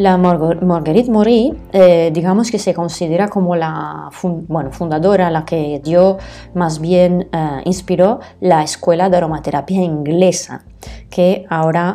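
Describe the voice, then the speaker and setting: A woman's fairly low voice with an Italian accent, fairly slow pace and ordinary pitch variation, over noticeable background noise. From northern Italy, Bergamo province. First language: Italian (speaking Spanish). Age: adult. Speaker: aromatherapist. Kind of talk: solo podcast talk. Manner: hesitant, many fillers.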